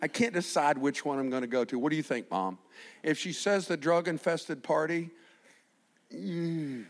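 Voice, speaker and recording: On a very clean recording with a silent background, a man with a fairly high pitch speaks at a moderate pace with lively intonation and long, frequent pauses. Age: 60s. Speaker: preacher. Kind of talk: sermon. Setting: church.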